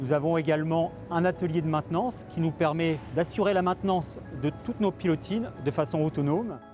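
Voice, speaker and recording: Using a normal speaking voice, a man talks at a fairly quick pace and fairly high pitch with ordinary pitch variation. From France, Le Havre (Normandy). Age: 40s. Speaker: maritime pilot. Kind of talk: interview. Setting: outdoors on a pontoon.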